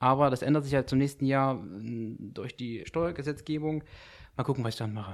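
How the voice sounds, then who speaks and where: Recorded very cleanly against a silent background, a man with an ordinary speaking voice talks fairly quickly at a medium pitch with ordinary pitch variation. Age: 20s. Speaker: private investor, club member. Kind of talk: casual podcast chat.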